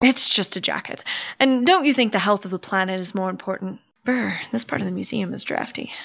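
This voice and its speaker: Her voice carries vocal fry. The woman speaks at a fairly quick pace. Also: medium pitch for a woman, ordinary pitch variation. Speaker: voice actor. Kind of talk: audio drama performance.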